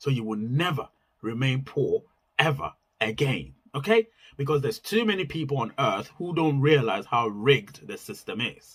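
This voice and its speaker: A man talks at a moderate pace in a fairly high, somewhat breathy voice with very wide pitch swings. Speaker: YouTuber giving money advice. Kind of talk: casual monologue vlog.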